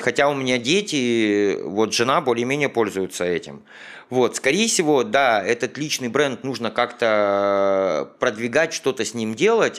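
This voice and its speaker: With a plain, everyday voice, a man talks at a fairly slow pace and medium pitch with lively intonation, on a very clean recording with a silent background. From Ukraine. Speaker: business owner. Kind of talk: interview.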